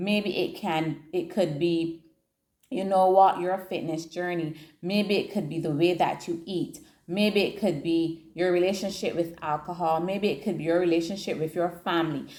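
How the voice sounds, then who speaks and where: Using an unremarkable speaking voice, a woman speaks at a fairly low pitch and moderate pace with fairly even intonation. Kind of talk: devotional teaching talk.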